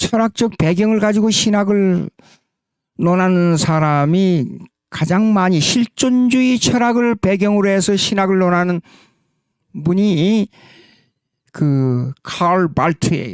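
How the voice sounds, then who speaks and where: A man's high-pitched voice at a very slow pace, broken by long, frequent pauses, with ordinary pitch variation, very even loudness and a dry, close sound lacking echo. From South Korea. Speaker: pastor and theology lecturer. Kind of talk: lecture. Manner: halting, with fillers and self-corrections.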